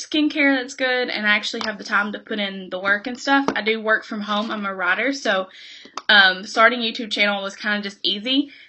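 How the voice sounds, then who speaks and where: A woman speaks with a Kentucky accent at a fairly high pitch. Her pitch varies in an ordinary way. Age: 20s. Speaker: beauty vlogger. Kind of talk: casual chat.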